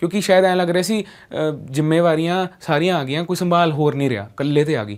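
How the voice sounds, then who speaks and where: Fairly high for a man, this voice is an unremarkable speaking voice with ordinary pitch variation. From Punjab, India. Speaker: radio jockey. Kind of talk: motivational talk.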